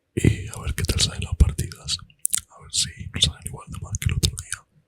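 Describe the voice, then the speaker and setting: Whispering at a moderate pace. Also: man. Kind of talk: casual talk to camera while gaming. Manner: soft-spoken, relaxed.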